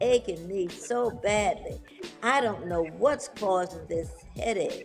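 The speech moves very slowly over faint background music. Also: woman. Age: 80s+. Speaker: bodybuilder. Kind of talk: interview answer. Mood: warm, animated. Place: home room. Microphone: video call.

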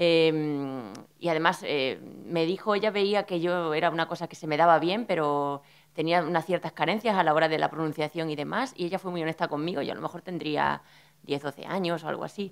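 Her pace is fairly quick. The woman's pitch varies in an ordinary way. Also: fairly low pitch for a woman. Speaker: speaker. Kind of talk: personal talk at a panel. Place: hall. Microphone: podium.

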